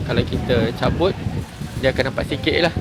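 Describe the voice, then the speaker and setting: A man talks while noticeable background noise sits behind him. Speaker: vlogger. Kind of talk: casual vlog. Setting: outdoors. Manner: loud.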